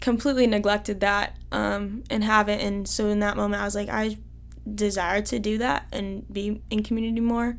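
Speaking with an American accent, a woman talks fairly quickly in a flat monotone at medium pitch. Audible room echo surrounds her voice. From Iowa. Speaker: college student. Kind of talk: testimony.

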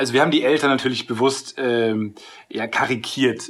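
Here a man talks at a medium pitch. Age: 20s. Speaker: TV series screenwriter. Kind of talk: interview. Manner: halting, many filler sounds.

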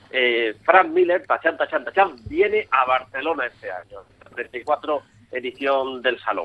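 The man's voice sits at a fairly high pitch. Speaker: comics podcast co-host. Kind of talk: casual chat.

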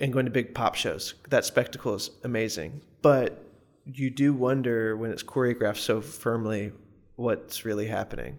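A man speaks with an American accent at a medium pitch. His pace is moderate and his pitch varies in an ordinary way. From US South, Morganton, North Carolina mountains. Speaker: musician. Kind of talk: casual chat. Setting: studio.

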